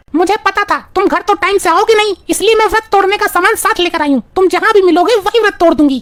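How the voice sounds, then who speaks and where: Using a cartoonish character voice at an extremely high pitch, a woman rattles along at a very fast pace with hardly any pauses. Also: ordinary pitch variation. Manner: sweet-talking.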